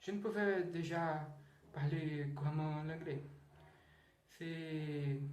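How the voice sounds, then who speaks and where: Against noticeable background noise and audible room echo, a man with a fairly high pitch speaks at a very slow pace, leaving long, frequent pauses, his intonation fairly even. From Brazil, Rio de Janeiro. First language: Portuguese (speaking French). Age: 20s. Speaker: language learner vlogger. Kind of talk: casual monologue. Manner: halting, with repetitions.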